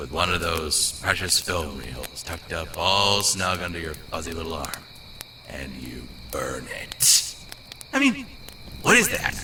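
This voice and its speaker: At a moderate pace, a man performs a cartoonish character voice over clear background noise. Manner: sarcastic, wisecracking.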